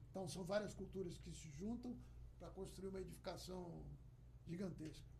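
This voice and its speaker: The speaker has an animated tone and a moderate pace. Audible room echo surrounds the voice. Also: man. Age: 60s. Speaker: workplace safety professional. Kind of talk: podcast interview.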